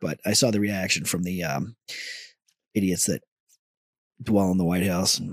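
With a very deep, low pitch, a man talks at a moderate pace using ordinary pitch variation and long, frequent pauses. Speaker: podcast host and former military radio setup guy. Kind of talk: casual banter, profanity-heavy chat. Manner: laid-back, crude, joking.

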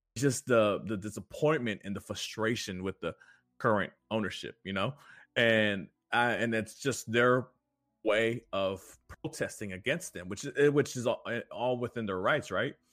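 A man with an American accent, medium-pitched with ordinary pitch variation, at a moderate pace, dry and close with no echo. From Houston, Texas. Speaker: soccer podcast co-host. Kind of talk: casual chat. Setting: remote call. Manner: halting, many fillers and repetitions.

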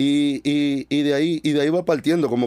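A man is speaking. His tone is dark and mellow. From Dominican Republic. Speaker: music producer. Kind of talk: casual interview.

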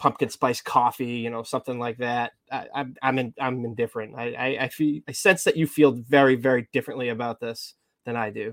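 In a plain, everyday voice with an American accent, a man speaks at a fairly quick pace and medium pitch with fairly even intonation, in a dry, close sound with no echo. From Massachusetts. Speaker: podcast co-host. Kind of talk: casual chat.

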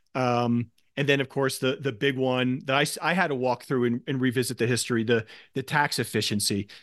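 A normal speaking voice from a man, medium in pitch, fairly quick, with fairly even intonation and very even loudness over a quiet background. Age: 50s. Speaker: podcast host and equity investor. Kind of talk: interview.

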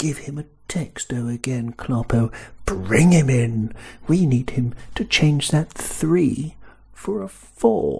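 A man whispers at a very slow pace. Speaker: football podcaster. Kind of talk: casual voice note. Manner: whispering.

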